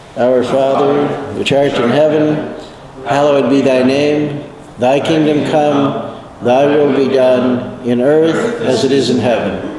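Over loud background noise, a man talks at a very slow pace with very even loudness. His pitch is fairly high and his intonation fairly even. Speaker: meditation leader. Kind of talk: guided meditation. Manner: slow, calm and unhurried, with long pauses between prompts; gentle, reverent, prayerful. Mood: calm, reverent. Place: office.

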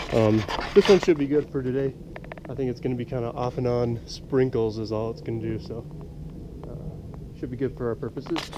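Noticeable background noise beneath a man's fairly quick pace. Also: ordinary pitch variation. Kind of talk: tutorial. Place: open country. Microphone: phone near.

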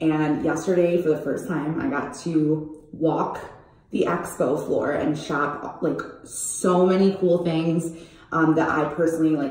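A woman talks at a fairly slow pace. Room echo is audible. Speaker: brand vlogger. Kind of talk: casual vlog chat. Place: bathroom. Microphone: phone near.

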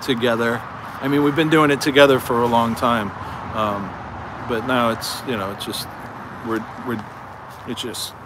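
A man's voice with long, frequent pauses, dry sound with no echo, and noticeable background noise. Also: moderate pace. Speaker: livestream host. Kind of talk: casual livestream chat. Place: open country. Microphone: phone near.

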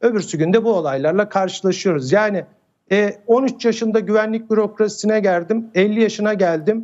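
A man's high-pitched voice at a moderate pace, with ordinary pitch variation and very even loudness. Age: 50s. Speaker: security expert. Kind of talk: TV interview. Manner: hesitant with many fillers.

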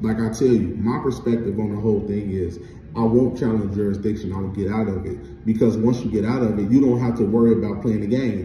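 Speaking at a very fast pace, a man with a fairly low pitch keeps a fairly even intonation, with light background noise and audible room echo. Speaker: vlogger. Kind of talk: casual vlog chat. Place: home room. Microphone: phone near.

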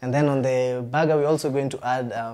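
The pace is fairly quick as a man speaks. He keeps a monotone, flat intonation. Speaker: guest. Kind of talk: cooking show conversation. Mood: cheerful, laughing. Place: studio. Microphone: lapel.

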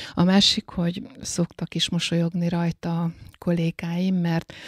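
At a fairly slow pace, a woman talks in a somewhat breathy voice with a fairly low pitch. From Hungary, Eger. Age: 60s. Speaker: librarian. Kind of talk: interview.

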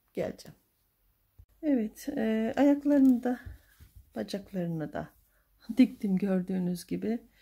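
A woman speaks softly in a fairly high, somewhat breathy voice with a dark, mellow tone and lively intonation. She leaves long, frequent pauses, and the background is quiet. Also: fairly slow pace. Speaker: crochet tutorial youtuber; crochet tutor. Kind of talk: tutorial. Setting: home at night. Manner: soft-spoken; halting. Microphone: phone near.

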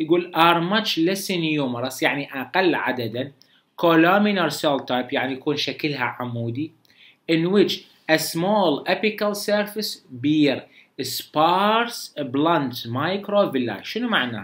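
A man with an Iraqi accent talks at a fairly slow pace. His pitch is fairly high and his intonation lively. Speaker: medical lecturer. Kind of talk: lecture. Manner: casual, conversational. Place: home room.

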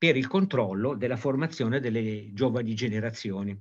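A man's somewhat breathy voice comes through over a quiet background. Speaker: sport historian; history lecturer. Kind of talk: lecture. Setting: video call. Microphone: video call.

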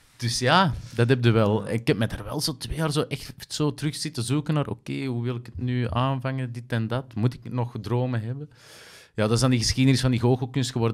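A man speaks with a Flemish accent at a medium pitch and a fairly quick pace. His intonation stays fairly even against a quiet background. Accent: Flemish Dutch. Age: 30s. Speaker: actor, presenter and magician; podcast guest, actor. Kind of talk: casual chat. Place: studio. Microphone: studio mic.

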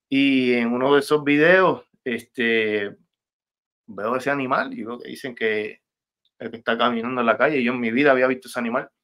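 Against a quiet background, a man talks at a medium pitch. His pace is moderate and his pitch variation ordinary. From Puerto Rico, Levittown; Puerto Rico. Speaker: rapper; guest. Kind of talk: interview. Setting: video call. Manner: halting, many repetitions. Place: home room. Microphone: video call.

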